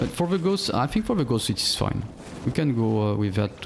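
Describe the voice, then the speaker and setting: Very rapid speech from a man of medium pitch comes through noticeable background noise. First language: not English. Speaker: game streamer. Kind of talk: gameplay commentary. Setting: live stream. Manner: halting, many fillers and repeats.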